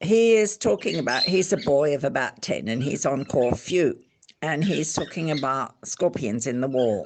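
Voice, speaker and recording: The speaker talks with an Australian accent and keeps a moderate pace. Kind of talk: casual spoken introduction.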